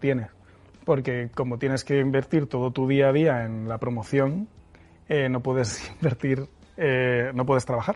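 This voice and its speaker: Intonation stays fairly even as a man talks at a moderate pace. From Spain, Murcia. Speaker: film director. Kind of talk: interview. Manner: halting, many repeated words.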